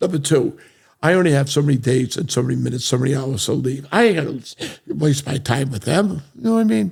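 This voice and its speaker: Talking at a very fast pace with an American accent, a man shows vocal fry and ordinary pitch variation. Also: medium pitch for a man. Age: 70s. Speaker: real estate entrepreneur. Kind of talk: interview conversation. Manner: repetitive, emphatic.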